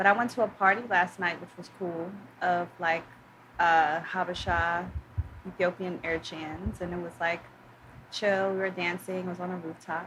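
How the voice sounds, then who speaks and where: A woman speaks in a flat monotone at a fairly low pitch and a moderate pace. Her loudness swings widely, and there is noticeable background noise. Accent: New York. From New York City, Harlem / Upper West Side border. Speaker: poet and author. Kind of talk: casual chat.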